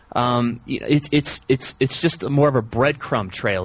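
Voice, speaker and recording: A somewhat breathy man at a fairly slow pace, ordinary pitch variation, quiet background. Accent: American. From US South. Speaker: men's coach and podcaster. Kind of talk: interview. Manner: animated.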